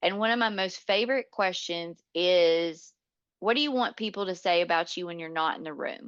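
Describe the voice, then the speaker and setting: In an unremarkable speaking voice, a woman with an American accent talks at a moderate pace and medium pitch with ordinary pitch variation over a quiet background. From US South, North Georgia. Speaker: leadership coach. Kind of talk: podcast interview.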